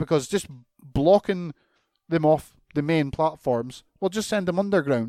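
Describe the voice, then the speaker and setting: In a Scottish accent, a man with a fairly high pitch and a dark, mellow tone is heard dry and close with no echo on a very clean recording with a silent background. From Scotland. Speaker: podcast host. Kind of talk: casual rant. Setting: home recording. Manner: animated.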